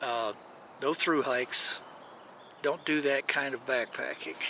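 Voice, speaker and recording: A man's voice amid noticeable background noise. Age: 60s. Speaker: hiking vlogger. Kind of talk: casual vlog monologue. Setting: outdoors in a canyon.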